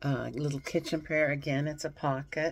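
Her voice is very deep and low for a woman. Light background noise sits behind it. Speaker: reseller showing thrift finds. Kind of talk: casual vlog chat. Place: home room. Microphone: phone near.

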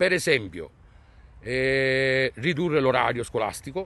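A man speaks at a medium pitch in an ordinary speaking voice. His intonation is lively. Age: 50s. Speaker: concerned parent. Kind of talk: street interview, protest statement. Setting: outdoors in front of a school.

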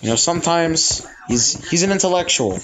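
A man speaks over noticeable background noise. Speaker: gamer. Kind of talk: casual gameplay commentary.

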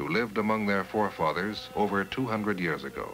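Over clear music in the background, a man talks in a fairly low pitch. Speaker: documentary narrator. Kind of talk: documentary narration. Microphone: old recording.

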